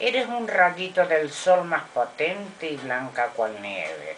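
Over light background noise, a woman talks at a very slow pace with very wide pitch swings. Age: old. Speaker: grandmother reciting poetry. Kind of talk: poetry reading. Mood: gentle, tender. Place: home room. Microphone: webcam.

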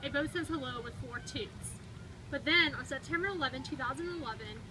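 Noticeable background noise sits behind the voice. A woman talks at a very fast pace. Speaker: storybook reader. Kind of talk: reading a children's picture book aloud. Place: street. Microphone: camera far.

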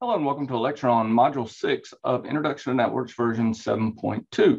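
This man speaks with a North Carolina accent. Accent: Southern US (North Carolina). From North Carolina, US South. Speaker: instructor. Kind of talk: lecture.

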